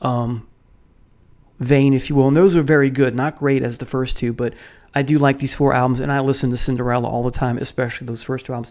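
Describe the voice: A man at medium pitch talks at a fairly quick pace with a slightly mellow tone and little pitch movement, in a very clean recording with a silent background.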